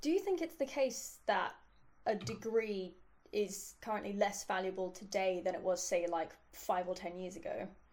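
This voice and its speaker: Moderate pace and ordinary pitch variation in a London accent. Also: woman, medium pitch for a woman. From London, England. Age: 20s. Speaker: interviewer. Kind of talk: interview.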